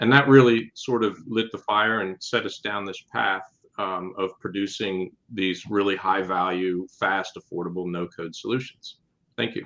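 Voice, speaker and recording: A man with an American accent, fairly low pitch, fairly even intonation and an unremarkable speaking voice. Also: moderate pace. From Pennsylvania. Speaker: software company founder and CEO. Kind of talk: webinar panel discussion.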